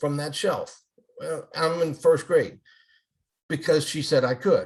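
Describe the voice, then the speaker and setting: At a fairly slow pace, a man is speaking. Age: 60s. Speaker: retired elementary school principal and author. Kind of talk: casual interview chat.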